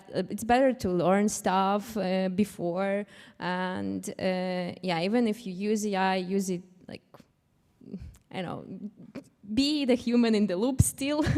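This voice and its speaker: Speaking with a non-native accent at a very slow pace, a woman uses a medium pitch, and her loudness swings widely. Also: ordinary pitch variation. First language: not English. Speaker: panelist, cybersecurity professional. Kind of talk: panel discussion. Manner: halting.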